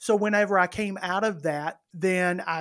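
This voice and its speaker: A man speaks in an Alabama accent with fairly even intonation. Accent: Alabama Southern US. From US South, northern Alabama. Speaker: comedian. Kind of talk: casual chat.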